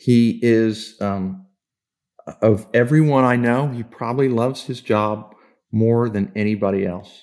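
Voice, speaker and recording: In an American accent, a man with an unremarkable speaking voice talks at a fairly slow pace, medium in pitch with fairly even intonation, on a very clean recording with a silent background. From Kansas. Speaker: sports executive and Navy veteran. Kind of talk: interview.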